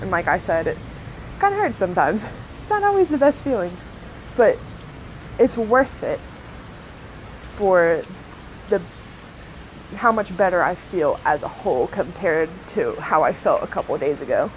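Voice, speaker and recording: Against noticeable background noise, a woman talks at a moderate pace, stopping often for long pauses. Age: 20s. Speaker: Reiki practitioner. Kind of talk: casual monologue. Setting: live stream.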